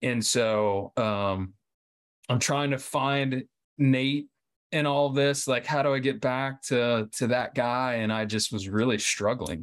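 Over a silent background in a very clean recording, a man at a medium pitch speaks at a very slow pace. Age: 30s. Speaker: cancer survivor. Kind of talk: interview.

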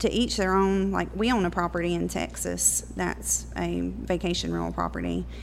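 A woman at a moderate pace, with hardly any pauses. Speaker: real estate agent. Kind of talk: casual chat.

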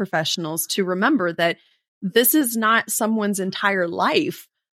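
A woman with a normal speaking voice, medium pitch and ordinary pitch variation, moderate pace, dry, close sound with no echo. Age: 40s. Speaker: HR consultant. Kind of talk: casual chat.

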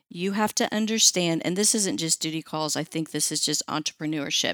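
Dry and close with no echo, the very clean recording has a silent background. A normal speaking voice goes at a moderate pace with ordinary pitch variation. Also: woman. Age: 50s. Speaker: pet waste removal franchisee. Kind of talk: interview. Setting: studio.

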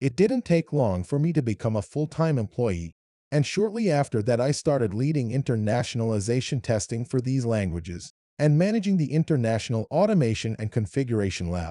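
Over a quiet background, a man with a dark, mellow tone and medium pitch speaks at a fairly quick pace, his pitch swinging very widely, in a dry, close sound with no echo. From Iran, raised in Kuwait. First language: Persian. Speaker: software localization executive. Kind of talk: interview.

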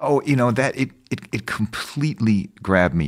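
A man with an American accent speaks at a fairly quick pace, showing vocal fry and very wide pitch swings. The recording is very clean, with a silent background. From US Midwest, Madison, Wisconsin. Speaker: documentary filmmaker. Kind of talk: interview conversation. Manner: halting.

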